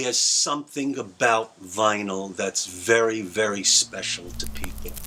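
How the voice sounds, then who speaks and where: A man speaks at a fairly slow pace, his pitch fairly low with ordinary variation. Noticeable background noise runs underneath. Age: 60s. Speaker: former record store owner. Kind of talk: interview testimony.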